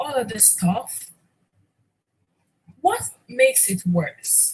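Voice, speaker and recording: A woman speaking at a very slow pace. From Nigeria. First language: Nigerian language (mother tongue). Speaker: podcaster / livestreamer. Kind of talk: motivational talk. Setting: livestream. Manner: repetitive, emphatic.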